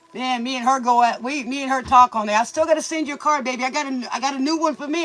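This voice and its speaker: At a very fast pace, a man speaks with extremely high pitch and fairly even intonation against noticeable background noise. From Louisiana. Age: 50s. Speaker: tarot reader. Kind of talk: casual tarot livestream chat. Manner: casual, rambling, many fillers.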